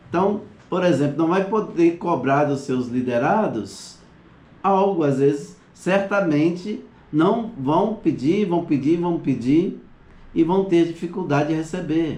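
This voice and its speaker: Audible room echo surrounds a man with a dark, mellow tone and high pitch. He keeps ordinary pitch variation at a fairly slow pace. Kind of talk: online class lecture. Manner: halting.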